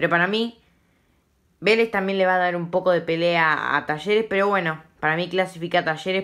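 A woman with a medium pitch is heard on a very clean recording with a silent background. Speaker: football YouTuber. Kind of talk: casual commentary vlog. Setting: at home at night. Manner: speaking quietly; informal, self-correcting.

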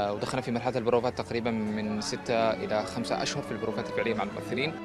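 Over clear background music, the speech comes very fast, with a dry sound and no echo. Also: man. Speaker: assistant director of a play. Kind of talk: interview answer. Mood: calm, earnest. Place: street.

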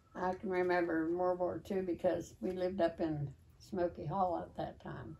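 With an American accent, a woman speaks at a moderate pace at a fairly low pitch, her tone dark and mellow and her intonation fairly even. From West Virginia. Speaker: longtime local resident; interviewee. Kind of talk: oral history interview. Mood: reminiscing, conversational. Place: home room. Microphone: camera far.

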